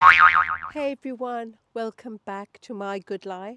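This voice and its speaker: A woman's medium-pitched voice with a British accent at a very slow pace, music in the background. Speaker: lifestyle and wellbeing vlogger. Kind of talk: personal vlog talk to camera.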